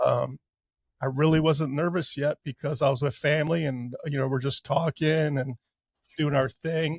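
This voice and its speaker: A man with a fairly high, somewhat breathy voice speaks at a moderate pace with fairly even intonation, the sound dry and close with no echo. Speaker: cancer patient sharing his story. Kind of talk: podcast testimony. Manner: halting with many fillers.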